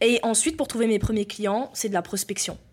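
A woman with a plain, everyday voice talks at a fairly quick pace, her pitch fairly high with ordinary variation. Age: 20s. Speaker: entrepreneur. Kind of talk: casual interview.

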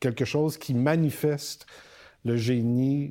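A man with a Quebec accent, medium pitch, ordinary pitch variation and a dark, mellow tone, in a very clean recording with a silent background. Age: 60s. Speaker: university rector. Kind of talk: interview.

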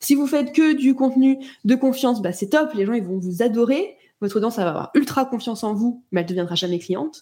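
A woman speaks at a very fast pace in a high pitch. Her intonation is lively and her tone is animated. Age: 30s. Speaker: content creation coach. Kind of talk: casual interview.

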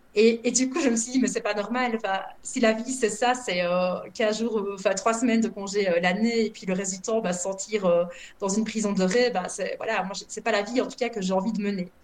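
A woman has an unremarkable speaking voice at a fairly high pitch. She keeps a moderate pace with fairly even intonation. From Belgium. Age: 30s. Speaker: former social worker who emigrated. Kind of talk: interview.

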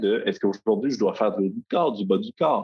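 A man with a slight Quebec accent and very wide pitch swings. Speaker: software company founder. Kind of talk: interview.

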